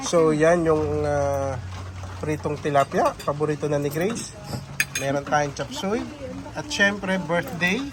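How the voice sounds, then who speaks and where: Over noticeable background noise, a man talks at a fairly slow pace in a fairly high pitch with ordinary pitch variation. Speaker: family vlogger. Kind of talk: travel vlog narration.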